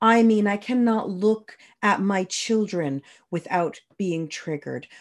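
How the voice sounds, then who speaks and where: A woman with an ordinary speaking voice and a Canadian accent talks at a fairly slow pace, her medium pitch showing ordinary variation, in a very clean recording with a silent background. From Canada, New Brunswick (Moncton). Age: 30s. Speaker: podcast host. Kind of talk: personal testimony monologue.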